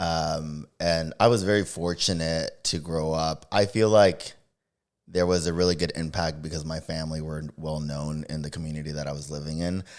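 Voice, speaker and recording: Speaking in a Spanish accent, a man uses a very deep, low pitch and fairly even intonation at a moderate pace. The recording is very clean, with a silent background. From Texas, Dallas (Oak Cliff). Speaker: forensic interviewer. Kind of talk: casual chat.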